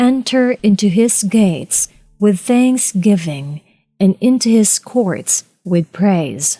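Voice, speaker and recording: Over music in the background, a woman with a Filipino accent speaks very slowly with ordinary pitch variation, the sound dry and close with no echo. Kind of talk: audiobook reading.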